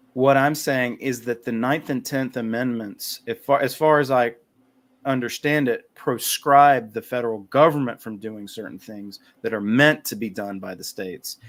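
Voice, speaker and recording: Recorded very cleanly against a silent background, a man in a North Carolina accent speaks at a moderate pace with ordinary pitch variation and big swings in loudness. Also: medium pitch for a man. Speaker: podcast guest, writer on liberty. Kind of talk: casual chat.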